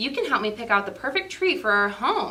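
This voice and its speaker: A woman's put-on character voice, fairly high-pitched, with very wide pitch swings and a fairly quick pace. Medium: read story. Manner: warm, kindly.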